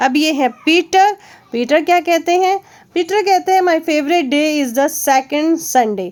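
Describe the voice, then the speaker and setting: A woman speaks loudly. Her intonation is lively. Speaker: teacher. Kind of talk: lesson explaining a textbook chapter.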